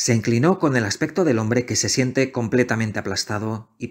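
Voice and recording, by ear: Reading aloud in a natural voice, with pitch moving in an ordinary way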